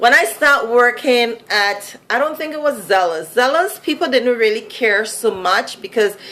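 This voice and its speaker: A woman with a Vincentian accent, lively intonation and a moderate pace. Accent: Vincentian Caribbean accent, noticeable. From Saint Vincent (Caribbean). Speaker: vlogger. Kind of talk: casual vlog monologue. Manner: conversational, many fillers.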